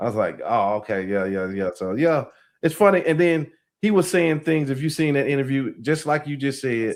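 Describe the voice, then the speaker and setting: A man talks at a moderate pace in a fairly high pitch with very wide pitch swings. The recording is very clean, and the background is silent. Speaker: podcast host. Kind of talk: casual interview talk.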